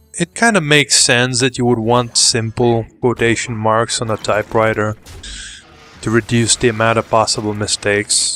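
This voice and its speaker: This man's speech moves at a moderate tempo. Noticeable noise sits behind him. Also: medium pitch for a man, fairly even intonation. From Lithuania. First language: Lithuanian. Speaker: YouTuber. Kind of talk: casual chat. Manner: halting.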